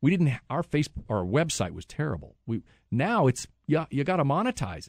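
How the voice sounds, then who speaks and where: Vocal fry runs through this man's voice, captured in a dry, close sound with no echo on a very clean recording against a silent background. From central Kansas, US. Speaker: TV news anchor. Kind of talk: casual interview.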